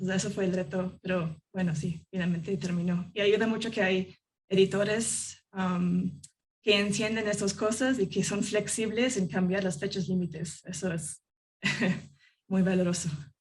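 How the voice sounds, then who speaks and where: A woman with a non-native accent speaks at a moderate pace and medium pitch. Her voice is somewhat breathy, and her intonation is fairly even. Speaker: journalist. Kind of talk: panel discussion. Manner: halting, many fillers.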